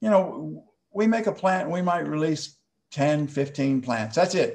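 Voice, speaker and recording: With an American accent, a man speaks in a normal speaking voice, pitched fairly high, his intonation lively. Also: fairly slow pace. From Texas. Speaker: plant hybridizer. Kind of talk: online presentation. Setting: video call.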